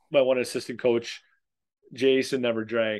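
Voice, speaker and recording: Using an unremarkable speaking voice, a man of medium pitch talks fairly quickly. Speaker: podcast co-host. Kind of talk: casual podcast chat.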